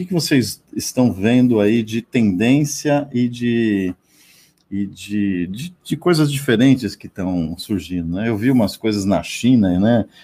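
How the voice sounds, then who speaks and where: At a very slow pace, a man with a dark, mellow tone and medium pitch talks with lively intonation. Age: 30s. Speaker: radio host. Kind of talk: radio talk show. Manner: animated.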